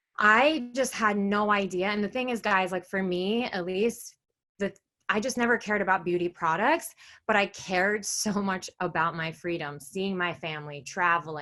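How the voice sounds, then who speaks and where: Bright and sharp in tone, a woman with an American accent speaks at medium pitch with lively intonation and a moderate pace. The recording is very clean, with a silent background. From New York. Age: 20s. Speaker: direct sales seller. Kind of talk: business presentation. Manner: casual, filler-heavy.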